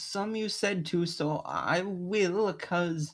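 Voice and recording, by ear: A passage read aloud in a natural voice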